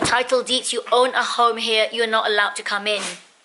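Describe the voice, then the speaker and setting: Noticeable background noise sits behind a woman who talks fairly quickly. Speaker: lifestyle vlogger. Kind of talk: casual vlog. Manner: perky, chirpy.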